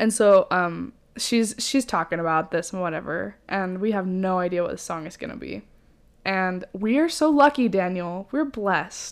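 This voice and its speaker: Against a silent background in a very clean recording, a woman with an unremarkable speaking voice speaks at a moderate pace, her medium pitch carried by lively intonation. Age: 20s. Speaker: podcast co-host. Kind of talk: casual chat.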